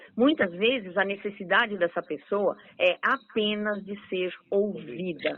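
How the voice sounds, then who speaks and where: The tone is cheerful and animated, with ordinary pitch variation. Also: woman, medium pitch for a woman, fairly slow pace. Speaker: radio host. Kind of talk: radio interview. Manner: cheerful, animated.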